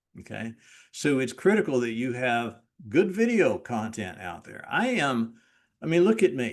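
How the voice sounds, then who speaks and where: The voice moves at a moderate pace while its pitch swings very widely. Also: man. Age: 60s. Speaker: real estate brokerage leader. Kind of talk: training talk. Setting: recorded video. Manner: emphatic.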